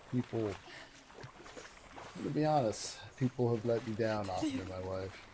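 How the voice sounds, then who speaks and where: A man's medium-pitched voice is heard with noticeable noise behind it. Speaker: gaming streamer. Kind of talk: casual chat. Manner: halting.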